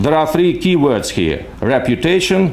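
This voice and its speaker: A man with a Russian accent talks at a moderate pace. Noticeable background noise and audible room echo fill the recording. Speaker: legal scholar. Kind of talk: conference talk. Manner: halting.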